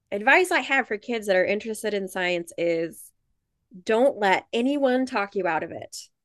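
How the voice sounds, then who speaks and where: A woman with an American accent speaks at a moderate pace and a fairly high pitch. She has an unremarkable speaking voice, and the background is quiet. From rural South Dakota and Montana, US. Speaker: gorilla researcher. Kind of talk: interview for kids, science explanations.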